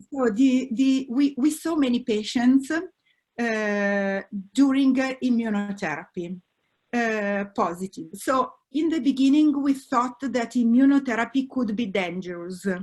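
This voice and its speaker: A woman speaks in an Italian accent at a high pitch. Her pace is fairly slow and her intonation lively. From Italy. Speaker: oncologist. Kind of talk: expert panel discussion. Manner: halting, many fillers.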